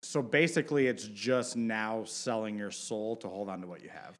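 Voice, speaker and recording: With an American accent, a man speaks in an unremarkable speaking voice at a medium pitch with ordinary pitch variation, captured in a very clean recording with a silent background. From Michigan, Detroit. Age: 30s. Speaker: fantasy basketball friend, prospective co-host. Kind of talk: casual chat.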